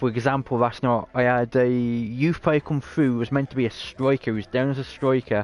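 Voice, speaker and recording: A medium-pitched man with a British accent, recorded dry and close with no echo. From Britain. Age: 30s. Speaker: video game streamer. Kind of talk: casual live-stream gameplay commentary.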